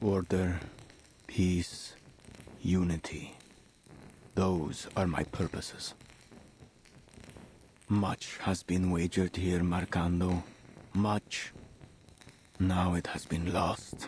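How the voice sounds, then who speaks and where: Using a put-on character voice, a man speaks very slowly in a menacing tone, his pitch very deep and low and his intonation monotone and flat. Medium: video game. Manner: measured, cold, menacing.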